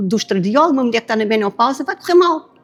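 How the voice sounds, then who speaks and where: A woman with a high voice speaks with lively intonation. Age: 60s. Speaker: medical doctor. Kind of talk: panel discussion. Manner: animated.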